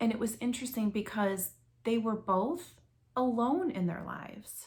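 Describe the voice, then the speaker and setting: Her pitch is fairly high with ordinary variation. The woman sounds somewhat breathy at a moderate pace. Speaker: book reviewer. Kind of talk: book review monologue. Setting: at home.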